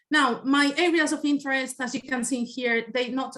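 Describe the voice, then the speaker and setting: With a Spanish accent, a woman talks with ordinary pitch variation. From Spain. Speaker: environmental scientist. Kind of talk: presentation. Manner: hesitant, with fillers.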